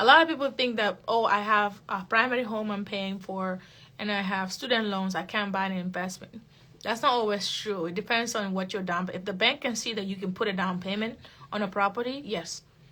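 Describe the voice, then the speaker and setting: A woman with a non-native accent speaks in a bright, sharp tone with ordinary pitch variation. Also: medium pitch for a woman, fairly quick pace, very clean recording, silent background. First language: not English. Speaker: real estate investor and coach. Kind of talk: live-stream Q&A. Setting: live social media video. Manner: casual, conversational.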